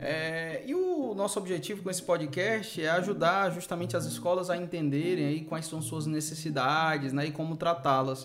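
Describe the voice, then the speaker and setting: Over noticeable background noise and audible room echo, a man talks in a fairly high voice. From Brazil, Fortaleza, Ceará. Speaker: podcast host, school management consultant. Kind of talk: casual chat. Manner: frequent fillers (né, é).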